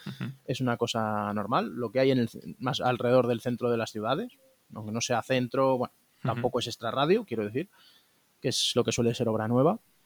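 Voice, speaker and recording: A man with an unremarkable speaking voice talks at a fairly quick pace and medium pitch with fairly even intonation, the sound dry and close with no echo. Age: 20s. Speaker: interviewee, young saver who bought a flat. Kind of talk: interview.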